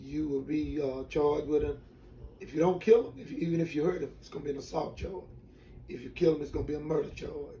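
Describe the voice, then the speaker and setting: Big swings in loudness mark this man's very fast speech with an American accent, and audible room echo surrounds it. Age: 60s. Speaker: retired drag racer. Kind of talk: interview, personal story. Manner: halting.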